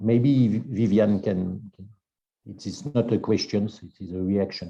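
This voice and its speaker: A man talks with a French accent in a dark, mellow tone. His intonation is fairly even, but his loudness swings a lot. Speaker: seminar moderator. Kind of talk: academic seminar discussion. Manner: halting.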